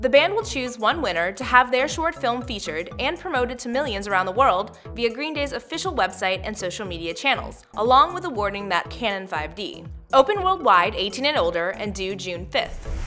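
Faint music plays in the background as a woman speaks at a moderate pace with hardly any pauses. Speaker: web show host. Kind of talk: scripted show hosting. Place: studio.

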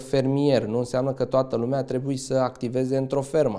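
A man's dark, mellow tone, monotone and flat, at a fairly quick pace against a quiet background. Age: 20s. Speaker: farmer; interviewee. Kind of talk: interview testimony. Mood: earnest, motivated. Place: studio. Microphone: handheld.

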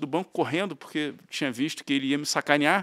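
A man against a quiet background. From Rio de Janeiro, Brazil (Tijuca, north zone); Rio de Janeiro. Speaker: banker, investment bank partner; interview guest. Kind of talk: interview. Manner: halting, many fillers. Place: studio. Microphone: studio mic.

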